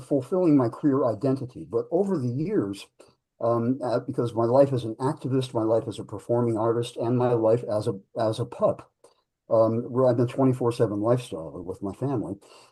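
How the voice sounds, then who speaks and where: Against a quiet background, a man with a dark, mellow, somewhat breathy tone speaks at a moderate pace. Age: 60s. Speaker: pup history researcher, activist, performing artist. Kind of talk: panel discussion.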